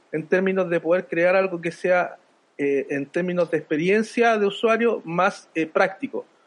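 With a high pitch, ordinary pitch variation and a moderate pace, a man speaks. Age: 50s. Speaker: podcast host, entrepreneur. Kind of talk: casual chat.

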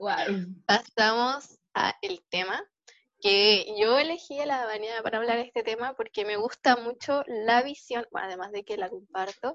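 Speaking with a Chilean accent, a woman with a high pitch uses lively intonation at a fairly slow pace, recorded with a dry, close sound with no echo and a quiet background. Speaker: podcast host. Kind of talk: casual chat.

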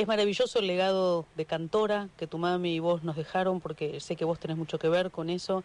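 Delivered with hardly any pauses, the talking moves along at a fairly quick pace. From Argentina. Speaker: radio host. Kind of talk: radio interview. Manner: animated.

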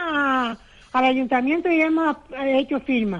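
The speaker is a woman with a high pitch. Her intonation is lively. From Canary Islands (Telde, Gran Canaria). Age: old. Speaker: caller. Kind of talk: complaint call. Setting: phone call.

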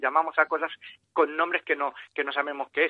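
A man with a plain, everyday voice talks at a fairly quick pace and a fairly high pitch. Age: 50s. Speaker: author. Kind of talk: interview.

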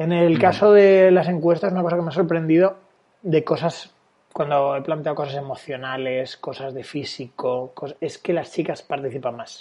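A man talks at a fairly high pitch and a moderate pace, with ordinary pitch variation. His is an unremarkable speaking voice, with big swings in loudness. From Valencia, Spain. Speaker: dating coach and sociologist. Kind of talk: casual interview.

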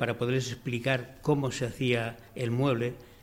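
At a fairly slow pace, a man speaks with medium pitch and monotone, flat intonation. Audible room echo surrounds the voice. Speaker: cabinetmaker. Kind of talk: press conference.

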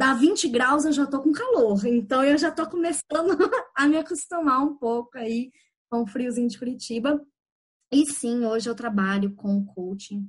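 Her intonation is lively and her pitch high. This woman takes a fairly slow pace. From Belo Horizonte, Brazil. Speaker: life coach. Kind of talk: podcast interview.

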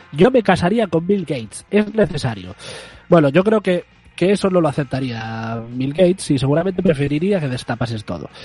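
Against noticeable background noise, a man with a fairly high pitch speaks at a moderate pace, his pitch swinging very widely. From Galicia. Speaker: community radio host. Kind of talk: comedic casual chat. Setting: remote from home.

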